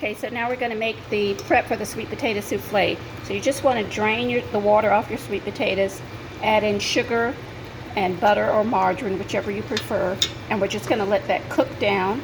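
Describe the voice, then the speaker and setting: This woman speaks at a fairly quick pace with a fairly high pitch. Her intonation is fairly even, and there is noticeable background noise. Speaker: cooking show host. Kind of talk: cooking tutorial. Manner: fast.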